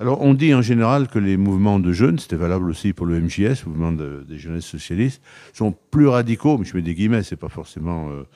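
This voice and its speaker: At a fairly quick pace, a man with a very deep, low pitch uses lively intonation and a dark, mellow tone. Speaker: TV interviewer. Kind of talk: interview questions.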